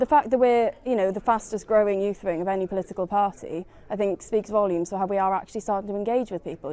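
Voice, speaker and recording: A woman with a South Wales Valleys accent talks very fast at a medium pitch with fairly even intonation. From Wales, South Wales Valleys. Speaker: youth party activist. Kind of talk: interview.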